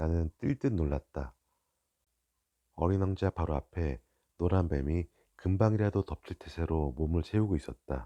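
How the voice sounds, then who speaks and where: A man's very deep, low voice, soothing and calm with a dark, mellow tone, at a fairly slow pace, dry and close with no echo against a quiet background. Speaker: audiobook reader (father reading aloud). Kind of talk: sleep-aid audiobook reading. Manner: soft, soothing, calm.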